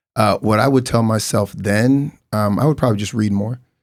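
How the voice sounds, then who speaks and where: The recording is very clean, with a silent background. It carries a plain, everyday voice at a fairly quick pace. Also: man. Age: 40s. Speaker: entrepreneur, event organizer. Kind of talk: panel discussion.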